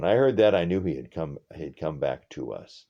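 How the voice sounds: Lively intonation marks a natural reading voice.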